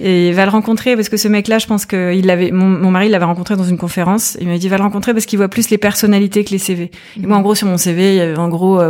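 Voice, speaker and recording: A woman of medium pitch talks at a fairly quick pace with fairly even intonation. Noticeable background noise is present. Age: 40s. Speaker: entrepreneur, former health journalist. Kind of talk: casual interview.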